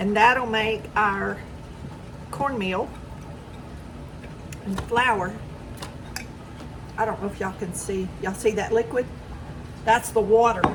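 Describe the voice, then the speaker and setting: At a fairly slow pace with long, frequent pauses, a woman with a Southern US accent speaks at a medium pitch and fairly even intonation, amid audible room echo and noticeable background noise. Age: 60s. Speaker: home cooking vlogger. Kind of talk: cooking tutorial. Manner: casual, chatty.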